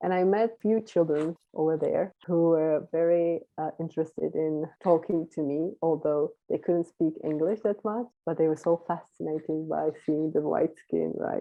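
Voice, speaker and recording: Speaking at a fairly slow pace with a Czech accent, a woman uses fairly even intonation and a fairly low pitch over a quiet background. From Czech Republic. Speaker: volunteer abroad; interview guest. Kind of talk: interview. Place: home room. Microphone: video call.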